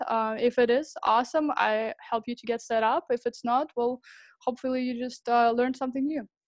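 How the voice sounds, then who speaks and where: A woman with a Russian accent at a fairly quick pace, fairly high in pitch, with fairly even intonation. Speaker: sales professional at a software startup. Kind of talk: sales demo pitch practice. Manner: hesitant, many fillers.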